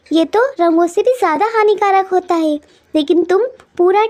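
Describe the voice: This woman puts on a cartoonish character voice at an extremely high pitch. Her pace is moderate.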